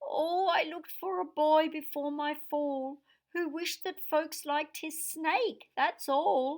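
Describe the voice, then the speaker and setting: A woman's soft-spoken, put-on character voice, high-pitched and at a fairly slow pace. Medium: read story. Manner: soft, weary.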